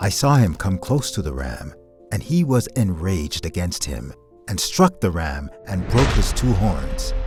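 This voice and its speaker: Music plays behind a man with a very deep, low pitch. He talks at a fairly slow pace with very wide pitch swings. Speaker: voiceover artist and podcast host; podcast host reading scripture. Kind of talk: audio Bible reading.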